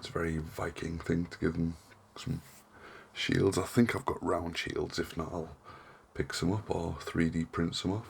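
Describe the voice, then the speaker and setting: A man's relaxed voice in a northern English accent, very deep and low in pitch, at a moderate pace. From northern England. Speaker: hobby crafting YouTuber. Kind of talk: casual tutorial vlog. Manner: monotone; relaxed, hesitant with fillers.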